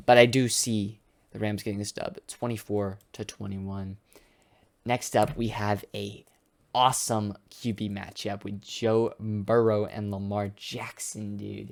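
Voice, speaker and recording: The recording is very clean, with a silent background. A man speaks at a fairly slow pace in a monotone, flat intonation, with big swings in loudness. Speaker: sports YouTuber. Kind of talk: casual prediction commentary. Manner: halting with many fillers.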